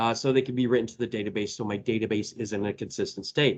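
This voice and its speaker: In an Indiana accent, a man speaks at a moderate pace with fairly even intonation. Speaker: database trainer and presenter. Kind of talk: technical presentation. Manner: casual, with filler words.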